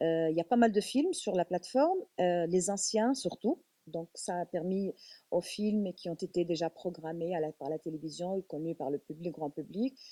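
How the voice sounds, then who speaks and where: At a moderate pace, a woman talks with a dark, mellow tone and a fairly low pitch, the sound dry and close with no echo. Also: ordinary pitch variation. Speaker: film school director. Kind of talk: panel discussion.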